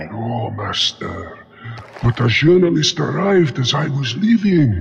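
A man adopts a put-on character voice, pitched fairly high and delivered at a moderate pace. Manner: subservient.

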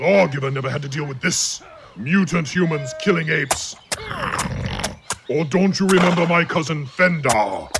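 A man puts on a character voice at a fairly high pitch, moving at a moderate pace with long, frequent pauses. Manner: booming, belligerent.

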